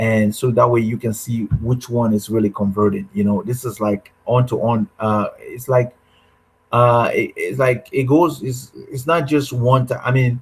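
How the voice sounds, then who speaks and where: A man's somewhat breathy voice at a medium pitch, fairly slow, with ordinary pitch variation. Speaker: online marketing workshop host. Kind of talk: live webinar tutorial. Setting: live video broadcast with screen share. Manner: halting, many fillers.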